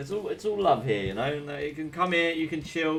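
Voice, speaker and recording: The speaker has an English accent and talks at a fairly quick pace. Pitch variation is ordinary, with noticeable background noise. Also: man. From England. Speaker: gaming streamer and caster. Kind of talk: live game commentary with chat. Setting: live stream. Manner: casual, chatty.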